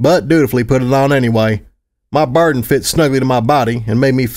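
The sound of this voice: The pitch moves in an ordinary way while someone reads aloud without forcing. Nothing intrudes from the quiet background.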